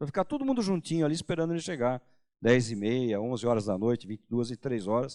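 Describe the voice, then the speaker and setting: In a dark, mellow tone, a man speaks at a medium pitch with lively intonation and big swings in loudness. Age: 60s. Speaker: pastor. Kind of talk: sermon. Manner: casual, conversational with hesitations.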